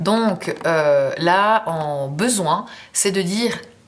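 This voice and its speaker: A woman at medium pitch with ordinary pitch variation, over noticeable background noise. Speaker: tarot reader. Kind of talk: tarot reading monologue. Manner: casual, hesitant with fillers.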